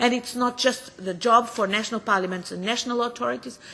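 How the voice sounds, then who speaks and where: A woman with a Portuguese accent, bright and sharp in tone, fairly quick, with ordinary pitch variation. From Portugal. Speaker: politician. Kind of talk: parliamentary committee speech. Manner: halting with frequent fillers.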